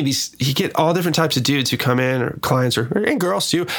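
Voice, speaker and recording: A man with an American accent at a very fast pace, over noticeable background noise. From US Northwest, Seattle. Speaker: music producer. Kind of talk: casual chat.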